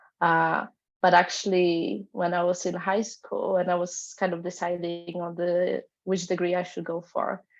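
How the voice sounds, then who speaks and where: With music playing in the background, a woman speaks in a Polish accent at a fairly slow pace with flat, monotone intonation. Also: fairly low pitch for a woman. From Poland. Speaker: panelist. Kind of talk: panel discussion.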